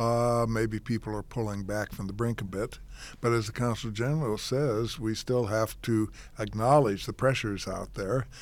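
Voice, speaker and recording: In a very clean recording with a silent background, a man uses a normal speaking voice at a medium pitch and moderate pace with fairly even intonation. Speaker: journalist. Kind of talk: panel discussion.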